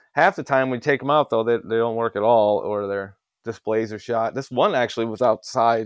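A man with a Midwestern American accent speaks at a fairly quick pace with fairly even intonation. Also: dry, close sound with no echo. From US Midwest, Ohio. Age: 30s. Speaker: industrial refrigeration technician. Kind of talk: casual chat.

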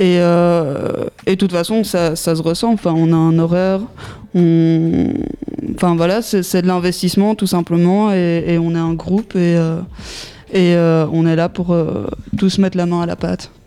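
A woman with a fairly low pitch speaks at a fairly slow pace in a monotone, flat intonation, leaving long, frequent pauses. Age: young. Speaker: youth project participant. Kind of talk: radio interview.

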